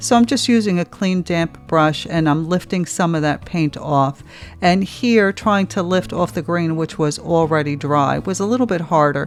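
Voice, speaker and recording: A woman with a New Jersey accent speaks at a moderate pace in a fairly low voice, her pitch varying in the ordinary way. Music plays in the background. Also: hardly any pauses. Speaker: art tutorial creator. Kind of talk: tutorial narration. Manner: casual, conversational.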